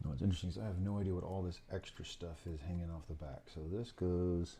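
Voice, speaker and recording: Mumbling at a very fast pace, a man speaks in a very deep, low, somewhat breathy voice with a dark, mellow tone and fairly even intonation. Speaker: FPV drone hobbyist. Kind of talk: casual build narration to camera. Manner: mumbling, casual.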